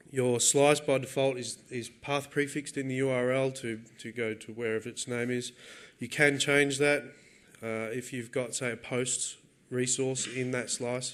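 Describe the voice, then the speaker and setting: This man speaks at a moderate pace with an Australian accent. His medium pitch holds a monotone, flat intonation. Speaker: software developer giving a conference talk. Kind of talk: technical talk. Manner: casual with frequent fillers and repetitions.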